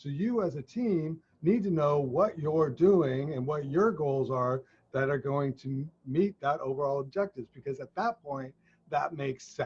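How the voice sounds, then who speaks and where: With an American accent, a man speaks at a moderate pace, somewhat breathy and at a fairly high pitch. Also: ordinary pitch variation. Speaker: leadership consultant. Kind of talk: casual discussion.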